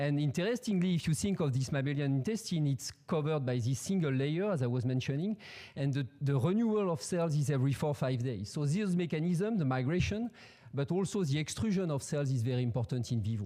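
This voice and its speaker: Talking at a very fast pace with a French accent, a man uses a dark, mellow tone, a fairly high pitch, lively intonation, and very even loudness against a quiet background. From France. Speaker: professor. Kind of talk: scientific presentation. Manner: halting, many fillers and repetitions. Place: hall. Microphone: podium.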